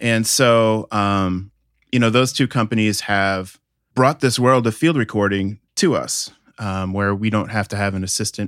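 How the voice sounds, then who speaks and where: In an American accent, a man with an ordinary speaking voice talks at a fairly slow pace, his pitch fairly low and his intonation fairly even, on a very clean recording with a silent background and a dry, close sound with no echo. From Connecticut, US Northeast. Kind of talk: interview.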